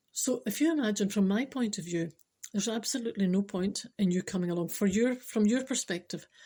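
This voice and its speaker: With a Scottish accent, a woman speaks at a fairly quick pace in a medium-pitched, somewhat breathy voice with a dark, mellow tone and ordinary pitch variation, on a very clean recording with a silent background. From Scotland. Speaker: spiritual speaker. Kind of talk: casual talk to camera.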